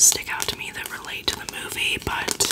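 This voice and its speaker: A soft-spoken woman whispers. Her pace is fairly quick. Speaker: beauty content creator. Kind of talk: casual review chat. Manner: soft close-mic ASMR whisper. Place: home room. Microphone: studio mic.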